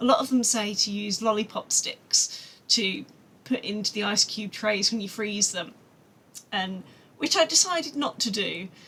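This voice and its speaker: Someone with an English accent speaks at a moderate pace with ordinary pitch variation over noticeable background noise. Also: woman, fairly high pitch for a woman. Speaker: vlogger and primary school teacher. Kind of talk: voiceover narration of a vlog. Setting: filmed at home. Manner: casual, chatty.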